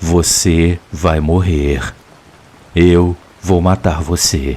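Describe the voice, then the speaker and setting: In a put-on character voice, a man whispers hoarsely at a very slow pace. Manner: whispering, threatening.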